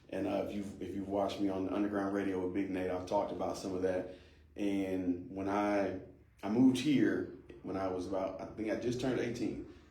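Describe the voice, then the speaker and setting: A man with an American accent talks fairly quickly in a fairly low pitch. His intonation is fairly even, and the room echo is audible. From US Midwest (Ohio, Kansas; born Las Vegas). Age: 30s. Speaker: pastor, court worker and county judge candidate. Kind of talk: podcast interview. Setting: studio.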